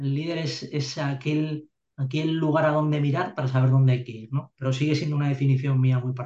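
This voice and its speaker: Fairly high-pitched yet dark and mellow, a man's somewhat breathy voice moves at a fairly quick pace with monotone, flat intonation. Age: 40s. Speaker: army officer. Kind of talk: interview. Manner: halting, many repeated words.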